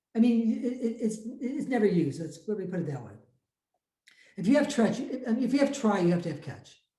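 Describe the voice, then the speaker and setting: Lively in intonation and fairly quick, a man talks at a high pitch with a dark, mellow tone amid audible room echo. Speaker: math and programming teacher. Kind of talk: lecture. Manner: fast; halting.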